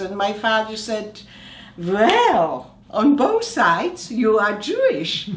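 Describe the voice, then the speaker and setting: Room echo is audible here. It surrounds a woman as she talks. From Slovakia. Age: 70s. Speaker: oncologist. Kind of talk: interview answer. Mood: warm, reflective, smiling. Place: home room.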